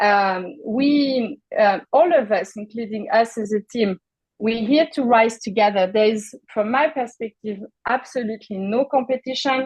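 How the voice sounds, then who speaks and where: A woman speaks at a fairly slow pace in a fairly high pitch with ordinary pitch variation, in a dry, close sound with no echo. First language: not English. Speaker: mentoring program leader. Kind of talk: onboarding presentation. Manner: halting, many fillers.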